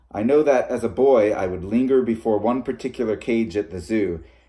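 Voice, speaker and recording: A man's dark, mellow voice at a moderate pace, with ordinary pitch variation and a quiet background. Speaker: reader of fiction. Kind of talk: reading aloud a short story. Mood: calm narrative. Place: home room. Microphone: phone near.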